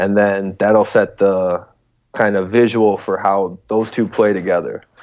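With an American accent and a normal speaking voice, a man talks at a moderate pace, his fairly low pitch carried by fairly even intonation. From Chicago suburbs, US. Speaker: rapper. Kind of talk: casual chat. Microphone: choppy connection.

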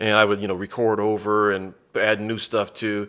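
On a very clean recording with a silent background, a man with an American accent uses an ordinary speaking voice, fairly low in pitch, at a moderate pace. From Mississippi and San Antonio, Texas (military childhood). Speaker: stand-up comedian. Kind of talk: casual interview. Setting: comedy club.

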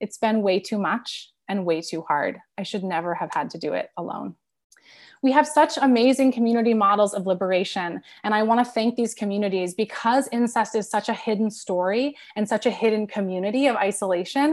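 On a very clean recording with a silent background, a woman speaks fairly quickly at a fairly high pitch with ordinary pitch variation. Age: 30s. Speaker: author and activist, trauma survivor. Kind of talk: presentation. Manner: halting.

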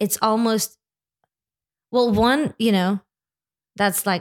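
With an American accent, the speaker goes very slowly with long, frequent pauses, very even loudness and ordinary pitch variation, in a dry, close sound with no echo. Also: woman. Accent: sounds American. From Lithuania. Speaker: church executive officer and musician. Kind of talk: interview conversation.

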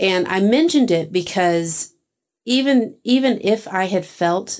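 A woman with a Texan accent at a very slow pace, ordinary pitch variation and a quiet background. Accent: Texan American. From Texas, small town. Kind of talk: casual interview.

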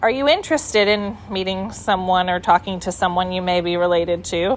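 A woman with a medium-pitched voice and ordinary pitch variation can be heard over noticeable background noise. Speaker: donor-conceived sibling. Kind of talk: interview testimony.

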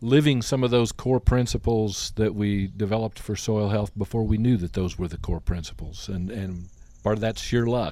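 A man with an American accent and an unremarkable speaking voice, fairly low in pitch, at a moderate pace. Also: very clean recording, silent background. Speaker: retired soil health farmer and advocate. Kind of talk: casual porch chat interview. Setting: outdoors on a porch.

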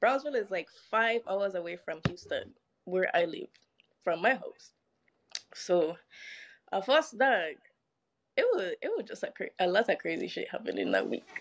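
Animated in tone, a woman talks at a moderate pace with long, frequent pauses. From St. Croix, US Virgin Islands. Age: 20s. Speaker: podcast guest. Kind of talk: casual storytelling.

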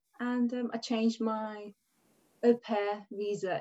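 A woman speaks with a Hungarian accent and ordinary pitch variation. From Hungary. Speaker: dance and hula hoop teacher. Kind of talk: casual interview chat.

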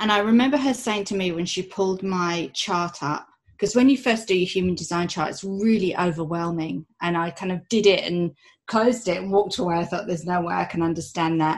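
Over a quiet background, a woman with a plain, everyday voice speaks fairly quickly at a medium pitch with ordinary pitch variation. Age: 40s. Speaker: human design coach. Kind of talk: interview.

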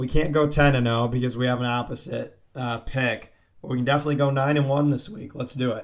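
Fairly even intonation runs through speech delivered at a very fast pace. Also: man, medium pitch for a man. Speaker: college sports podcast co-host. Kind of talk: casual chat.

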